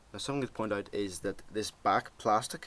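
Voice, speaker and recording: A man speaks in a Northern Irish accent at a moderate pace. His pitch varies in an ordinary way. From Northern Ireland. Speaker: tech product reviewer. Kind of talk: product review, casual vlog. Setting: home desk, webcam recording. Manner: casual, many fillers. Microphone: laptop webcam recording.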